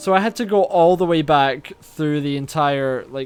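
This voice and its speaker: With a Scottish accent, a man talks at a fairly slow pace. His pitch is fairly high, with ordinary pitch variation. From Scotland. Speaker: gaming let's play creator. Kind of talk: casual gameplay commentary.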